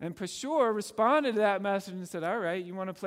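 Someone reads in a natural reading voice.

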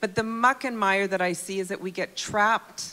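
With a Canadian accent, a woman talks at a fairly slow pace in a bright, sharp tone and fairly even intonation. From Calgary, Canada. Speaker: missionary. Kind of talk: interview.

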